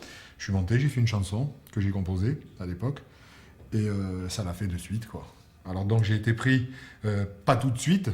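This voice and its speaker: Over noticeable background noise, a man with a slight Marseille accent talks at a fairly low pitch and a moderate pace. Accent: slight Marseille accent, toned down. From Marseille, southern France. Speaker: musical theatre singer and comedian. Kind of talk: interview.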